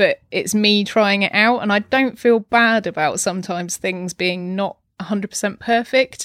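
A woman with an unremarkable speaking voice talks at a medium pitch and moderate pace, with hardly any pauses and fairly even intonation. The sound is dry and close with no echo, on a very clean recording with a silent background. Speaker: podcaster. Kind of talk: casual interview chat. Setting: home.

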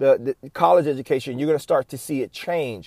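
A man's fairly high, animated voice at a fairly quick pace, dry and close with no echo, in a very clean recording with a silent background. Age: 50s. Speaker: podcast host and staffing agency owner. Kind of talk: solo podcast monologue.

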